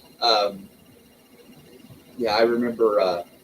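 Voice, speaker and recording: A man talks in a Southern US accent. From US South, rural Arkansas. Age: 50s. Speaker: livestream host. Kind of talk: casual chat.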